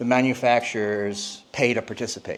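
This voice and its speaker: Fairly even intonation and a medium pitch from a man with an ordinary speaking voice. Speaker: industry presenter. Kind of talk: conference presentation.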